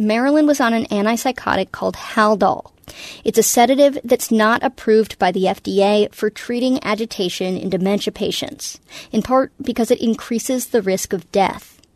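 In a plain, everyday voice, a woman talks fairly quickly at a fairly high pitch with ordinary pitch variation. The sound is dry and close, with no echo. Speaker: radio reporter. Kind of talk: scripted narration.

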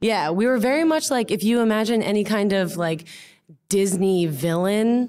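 Over a silent background in a very clean recording, a woman with an American accent speaks at a moderate pace and medium pitch. Her intonation is lively and her loudness very even. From US. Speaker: comedian. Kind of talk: casual chat. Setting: theater stage with audience. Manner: animated.

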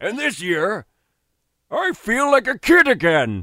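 In a put-on character voice, a man projects loudly at an extremely high pitch, his pitch swinging very widely at a fairly slow pace.

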